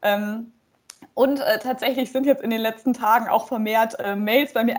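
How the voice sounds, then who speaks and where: An ordinary speaking voice from a woman, fairly high in pitch, with fairly even intonation at a moderate pace. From Emsland, Lower Saxony, Germany. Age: 20s. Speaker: political candidate and legal researcher. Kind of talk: interview.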